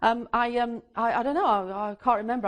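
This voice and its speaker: A woman with an English accent speaks at a fairly quick pace. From England. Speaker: astrologer and teacher. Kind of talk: lecture. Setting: stage with audience. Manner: halting; animated.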